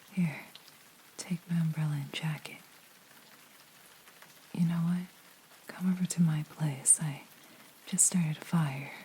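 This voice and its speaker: The speech moves at a fairly slow pace in a monotone, flat intonation, broken by long, frequent pauses. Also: woman, fairly low pitch for a woman. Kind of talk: ASMR roleplay. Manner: caring, comforting.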